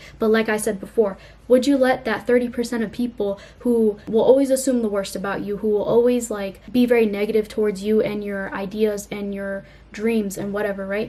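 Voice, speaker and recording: Delivered at a fairly quick pace, this voice has a dark, mellow tone and a monotone, flat intonation. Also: woman. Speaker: YouTuber. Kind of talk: casual vlog talk to camera. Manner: fast; casual, filler-heavy.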